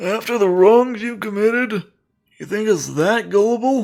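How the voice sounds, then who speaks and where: Doing a put-on character voice, a man speaks at a moderate pace and high pitch, with fairly even intonation and big swings in loudness. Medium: game stream. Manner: blunt, profane.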